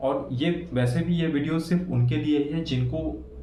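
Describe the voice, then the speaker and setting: With a Bengali accent, a man speaks at a fairly high pitch with ordinary pitch variation, and audible room echo can be heard. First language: Bengali (speaking Hindi). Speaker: English-speaking tutor / YouTuber. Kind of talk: tutorial. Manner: casual, with frequent fillers.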